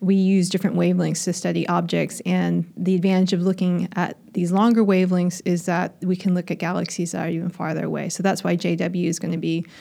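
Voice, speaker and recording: With an American accent, a woman talks at a fairly quick pace. Her tone is dark and mellow, her intonation monotone and flat. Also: fairly low pitch for a woman. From United States. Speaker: astrophysicist. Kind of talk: interview.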